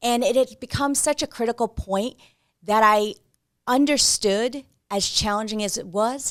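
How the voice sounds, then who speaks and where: A woman with a New Jersey accent talks at a fairly slow pace with a fairly high pitch, ordinary pitch variation and big swings in loudness. The recording is very clean with a silent background, and the sound is dry and close with no echo. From New Jersey, US. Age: 40s. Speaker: podcast host. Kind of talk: monologue.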